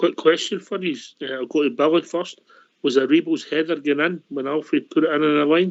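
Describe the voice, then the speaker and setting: Speaking at a fairly quick pace with a Scottish accent, a man uses a fairly high pitch and fairly even intonation. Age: 70s. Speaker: radio host. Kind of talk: phone-in show hosting.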